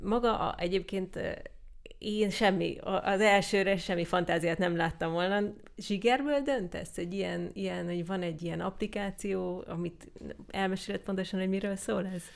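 An ordinary speaking voice keeps a moderate pace, its pitch varying in an ordinary way. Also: woman, medium pitch for a woman. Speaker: podcast host. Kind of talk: interview.

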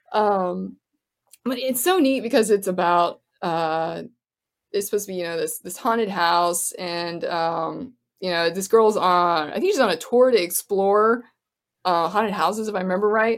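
In a very clean recording with a silent background, a woman with an unremarkable speaking voice talks at a medium pitch with ordinary pitch variation. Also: moderate pace. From Florida. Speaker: actor and filmmaker. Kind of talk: casual interview chat.

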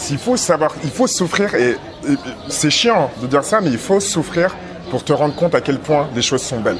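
Music plays behind a man who talks at a moderate pace with a fairly high pitch and very wide pitch swings. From raised in France, Togolese family. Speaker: street food cook. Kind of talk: casual chat. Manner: animated, frequent laughter.

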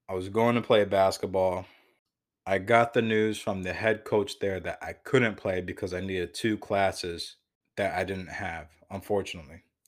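A man speaks in a normal speaking voice with an American accent, his pitch fairly low. He keeps a moderate pace and a fairly even intonation. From Connecticut (Waterbury). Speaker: police officer, podcast host. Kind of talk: personal storytelling monologue.

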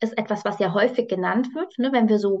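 This woman has an unremarkable speaking voice, pitched fairly high. She talks at a fairly quick pace. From Hesse, Germany (near Frankfurt am Main). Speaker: psychologist and dog trainer. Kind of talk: casual interview. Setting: video call.

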